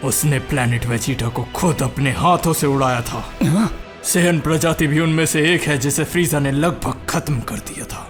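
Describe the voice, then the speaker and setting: Clear music plays in the background as a man uses a put-on character voice, fairly high in pitch, at a moderate pace. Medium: dub. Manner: arrogant, intense.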